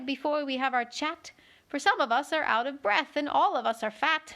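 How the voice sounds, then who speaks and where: At a moderate pace, a woman performs a put-on character voice. It sits high in pitch. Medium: read story.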